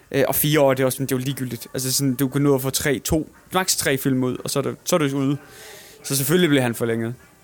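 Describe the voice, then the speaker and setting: A man's medium-pitched voice at a very fast pace, fairly even intonation, noticeable background noise. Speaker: film podcast host. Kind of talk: casual chat. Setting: cinema venue.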